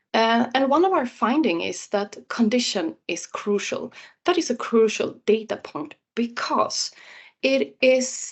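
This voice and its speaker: A woman's fairly high voice with vocal fry and lively intonation, at a fairly slow pace. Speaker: researcher. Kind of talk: presentation. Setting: webinar. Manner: halting.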